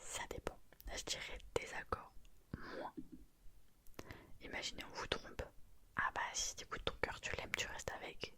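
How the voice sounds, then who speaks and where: A woman whispering at a fairly slow pace, with long, frequent pauses. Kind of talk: casual talk to camera. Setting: close mic, late night at home. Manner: whispered, soft-spoken.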